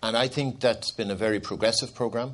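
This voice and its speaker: In an Irish accent, a man talks at a medium pitch with ordinary pitch variation. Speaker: former anti-hunger charity CEO. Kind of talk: panel discussion. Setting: conference stage with audience.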